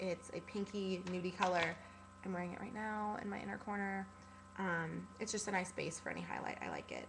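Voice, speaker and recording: With noticeable background noise and audible room echo, a woman talks at a fairly quick pace in a medium pitch, her intonation monotone and flat. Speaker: beauty vlogger. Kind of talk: product review vlog. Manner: fast; casual, lots of fillers.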